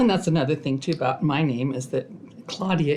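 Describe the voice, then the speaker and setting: A woman's very deep, low voice with a dark, mellow tone, ordinary pitch variation and a western US accent. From southern Idaho, Twin Falls. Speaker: family elder telling life story. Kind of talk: oral history interview. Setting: family history library.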